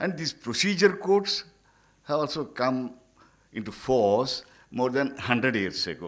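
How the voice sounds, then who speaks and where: Medium pitch from a man, very wide pitch swings, a fairly slow pace and long, frequent pauses. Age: 80s+. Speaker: senior lawyer or retired judge. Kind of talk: conference speech. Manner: halting.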